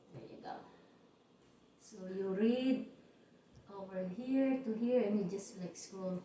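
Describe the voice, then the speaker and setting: A woman speaks at a medium pitch with ordinary pitch variation, at a very slow pace with long, frequent pauses. Her loudness swings widely, and there is noticeable background noise and audible room echo. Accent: Cebuano. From Philippines, Cebu region. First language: Cebuano. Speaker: YouTuber. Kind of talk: casual chat.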